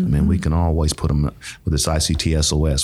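Noticeable background noise sits behind a man with a very deep, low voice and an American accent. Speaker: nonprofit executive director, podcast guest. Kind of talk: casual, warm conversational.

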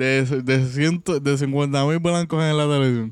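This man's pitch is medium. It is an unremarkable speaking voice. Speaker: podcast co-host. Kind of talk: casual chat.

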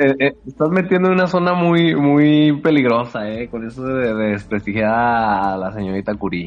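A man talks at a moderate pace with hardly any pauses and very wide pitch swings. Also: medium pitch for a man. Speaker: podcast guest. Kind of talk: casual chat.

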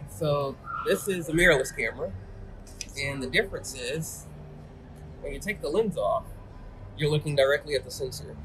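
With music in the background, a man speaks at a moderate pace, leaving long, frequent pauses. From Atlanta, Georgia. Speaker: professional photographer. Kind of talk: interview. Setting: in person.

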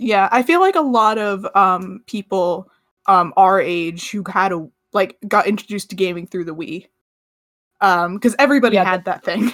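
On a very clean recording with a silent background, a woman in an ordinary speaking voice talks at a moderate pace with a medium pitch and ordinary pitch variation. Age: 20s. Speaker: podcast co-host. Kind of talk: casual chat.

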